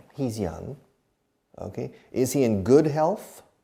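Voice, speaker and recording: A man's dark, mellow voice at a fairly slow pace, lively intonation, and audible room echo. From Texas. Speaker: English teacher. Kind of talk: lecture.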